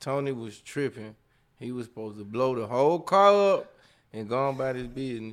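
A man's medium-pitched voice at a fairly quick pace, with lively intonation and big swings in loudness. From Jackson, Mississippi. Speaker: rapper. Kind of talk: casual chat. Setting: studio.

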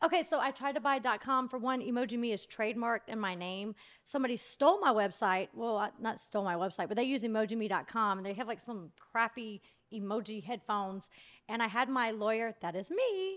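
In an ordinary speaking voice, a woman with an American accent talks at a fairly quick pace with a fairly high pitch and ordinary pitch variation, recorded very cleanly against a silent background. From US South, Georgia. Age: 30s. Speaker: reality TV personality and YouTuber. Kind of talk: casual chat. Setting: studio.

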